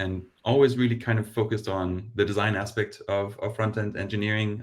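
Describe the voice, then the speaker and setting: Over a silent background in a very clean recording, a man speaks in a somewhat breathy voice with monotone, flat intonation. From Denmark. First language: Danish. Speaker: design operations lead. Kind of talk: panel discussion.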